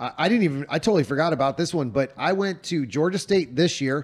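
A man with a plain, everyday voice talks at a fairly quick pace, his fairly high pitch moving with lively intonation. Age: 40s. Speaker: shooting coach and podcast host. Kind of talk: casual chat. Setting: Airbnb living room, on couches.

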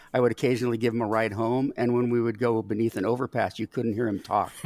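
A man's medium-pitched voice, dry and close with no echo, over background music. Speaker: baseball podcast co-host. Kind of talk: casual chat. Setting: studio. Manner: jokey.

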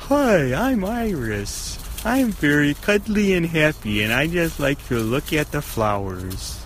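Using a put-on character voice, a man speaks fairly slowly at a fairly high pitch over clear background noise. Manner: cuddly, sweet, cartoonish.

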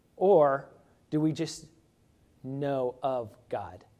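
A man speaks at a fairly high pitch with a dark, mellow tone. His pitch varies in an ordinary way. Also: long, frequent pauses. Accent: Midwestern American. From Indiana, US Midwest. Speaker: pastor candidate. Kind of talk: sermon.

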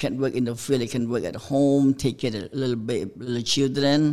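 A man with a Cambodian accent talks in a medium pitch and a flat monotone. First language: Khmer. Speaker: pastor. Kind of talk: testimony. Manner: halting.

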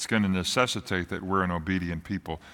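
Over a very clean recording with a silent background, a man speaks with an American accent. His tone is warm yet also bright and sharp. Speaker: pastor. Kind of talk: sermon. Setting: church. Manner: warm, direct address to congregation.

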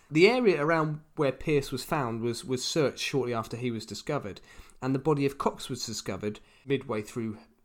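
In a very clean recording with a silent background, a man with a plain, everyday voice speaks at medium pitch and a fairly quick pace, with ordinary pitch variation. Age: 30s. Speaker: podcast co-host. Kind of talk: casual chat, storytelling.

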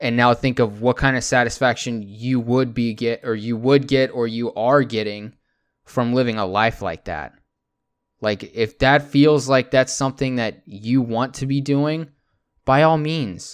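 Against a quiet background, a man speaks fairly slowly at a medium pitch with fairly even intonation. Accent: American. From Texas. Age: 20s. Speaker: podcast host. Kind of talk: casual solo monologue.

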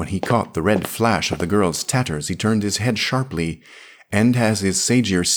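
The voice here reads in a natural way.

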